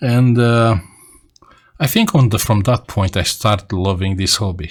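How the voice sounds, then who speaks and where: A man with a Romanian accent, medium pitch and a fairly slow pace, on a very clean recording with a silent background. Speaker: radio amateur. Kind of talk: casual vlog talk. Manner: halting.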